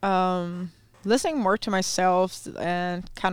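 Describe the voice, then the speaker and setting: A woman speaks very slowly with a German accent, at medium pitch and with fairly even intonation. The recording is very clean, with a silent background. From Germany. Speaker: visitor from Germany living with host family. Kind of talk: casual chat. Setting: studio booth. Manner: laughs often.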